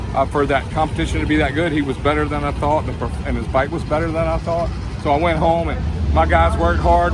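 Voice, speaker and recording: A man talking at a very fast pace with hardly any pauses, amid noticeable background noise and audible room echo. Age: 60s. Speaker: motorcycle drag racer and bike builder. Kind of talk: interview.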